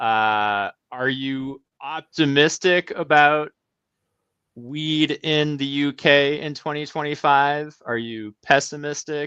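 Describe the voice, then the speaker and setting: With an American accent, the speaker goes at a very slow pace over a quiet background. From US. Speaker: podcast host. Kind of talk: interview.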